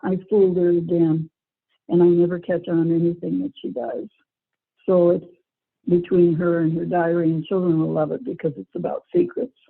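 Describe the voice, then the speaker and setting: A woman with a plain, everyday voice talks at a moderate pace. Her pitch is fairly low and her intonation fairly even. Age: 60s. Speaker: children's book author, former teacher and nurse. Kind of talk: interview answer.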